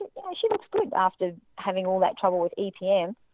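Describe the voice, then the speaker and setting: A woman with an Australian accent speaks at a fairly quick pace and a medium pitch. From Australia, Central Queensland. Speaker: horse owner and reining rider. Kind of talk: testimony.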